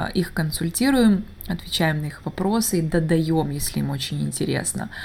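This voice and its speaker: With lively intonation and a moderate speed, a woman talks over noticeable background noise. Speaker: English teacher and podcaster. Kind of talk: solo podcast monologue. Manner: halting, many filler sounds.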